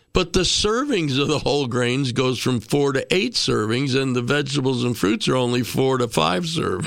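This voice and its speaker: Over noticeable background noise, a man with a medium-pitched voice speaks at a moderate pace with lively intonation, very even loudness, and hardly any pauses. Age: 70s. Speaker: radio co-host. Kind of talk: talk radio chat.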